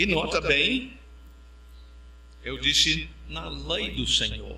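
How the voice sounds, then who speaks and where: With an English accent, a man speaks at a very slow pace amid noticeable background noise and audible room echo. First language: English (speaking Portuguese). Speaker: pastor. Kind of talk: sermon.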